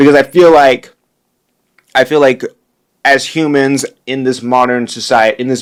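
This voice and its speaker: A man's intonation stays fairly even while he keeps to a moderate pace. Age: 20s. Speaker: podcast host. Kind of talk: casual monologue. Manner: halting.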